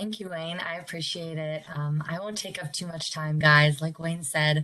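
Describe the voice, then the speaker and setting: Speaking with an American accent, a woman has a normal speaking voice with fairly low pitch. She keeps a moderate pace and fairly even intonation. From Pittsburgh, Pennsylvania. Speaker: campus recruiter. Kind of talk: workshop presentation.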